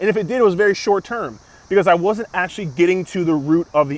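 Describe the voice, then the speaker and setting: The delivery has an animated tone. It runs at a very fast pace. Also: man. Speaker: fitness coach. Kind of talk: casual vlog talk to camera.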